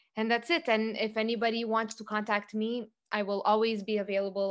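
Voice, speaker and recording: Fairly quick and fairly even in intonation, a woman speaks in a plain, everyday voice. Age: 40s. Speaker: youth empowerment facilitator. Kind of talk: casual interview.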